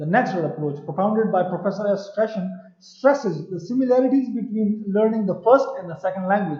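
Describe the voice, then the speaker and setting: A man with a Pashto accent talks at a fairly quick pace in a high pitch with ordinary variation. Audible room echo surrounds his voice. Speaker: university lecturer. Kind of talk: lecture. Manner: halting, repetitive fillers.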